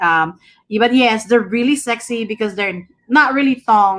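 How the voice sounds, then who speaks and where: A woman with a Filipino accent, fairly high in pitch, with lively intonation and a fairly quick pace, on a very clean recording with a silent background. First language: Tagalog. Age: 40s. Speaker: livestreamer. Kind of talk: casual chat. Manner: loud when excited.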